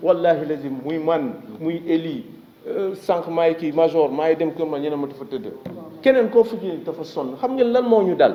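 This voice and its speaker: Audible room echo surrounds a man with a high pitch. He talks at a fairly slow pace with lively intonation. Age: 60s. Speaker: association leader for victims' families. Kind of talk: press conference speech.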